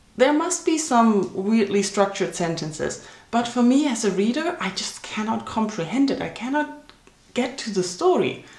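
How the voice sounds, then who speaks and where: A woman with a German accent speaks at a moderate pace and a fairly high pitch, with very wide pitch swings. Noticeable background noise and audible room echo fill the recording. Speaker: book vlogger. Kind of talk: casual vlog monologue.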